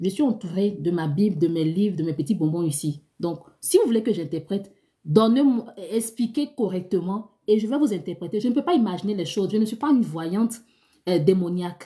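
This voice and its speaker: A woman speaks at a medium pitch with a somewhat breathy, dark and mellow tone and lively intonation. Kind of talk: live stream Q&A, dream interpretation. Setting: live stream. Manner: fast.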